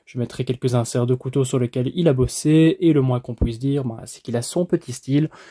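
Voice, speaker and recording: A man's medium-pitched, somewhat breathy voice with a Belgian accent and a dark, mellow tone, dry and close with no echo, on a very clean recording with a silent background. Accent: Belgian French accent, usually mild. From Belgium. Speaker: knife reviewer youtuber. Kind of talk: product review. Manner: animated.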